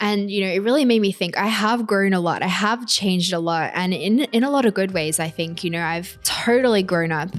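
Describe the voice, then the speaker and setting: Over music in the background, a woman with an Australian accent speaks at a fairly quick pace with hardly any pauses and ordinary pitch variation. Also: medium pitch for a woman. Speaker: podcast host and influencer. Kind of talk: solo podcast monologue. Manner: casual, conversational.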